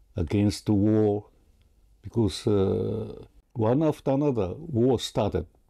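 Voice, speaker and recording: In a very clean recording with a silent background, a man with a fairly low pitch and a dark, mellow tone speaks very slowly with a Japanese accent. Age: 90s. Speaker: peace activist and writer. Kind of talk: interview. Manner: halting.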